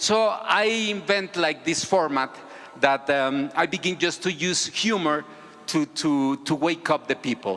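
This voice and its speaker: A man talks at a fairly slow pace, his pitch high. Noticeable background noise runs behind him. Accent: Spanish. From Mexico. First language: Spanish. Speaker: civic activist, video creator. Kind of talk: conference talk. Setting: stage with audience. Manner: halting, many repetitions.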